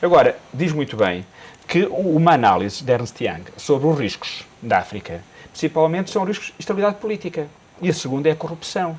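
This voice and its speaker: Over noticeable background noise, a man with a Minho accent talks at a fairly quick pace with lively intonation. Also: fairly high pitch for a man. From northern Portugal (Minho). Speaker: business commentator. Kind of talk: TV panel discussion. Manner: hesitant, repetitive.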